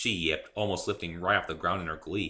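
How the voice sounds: Speaking at a fairly quick pace, a man with low pitch keeps a fairly even intonation and a bright, sharp tone.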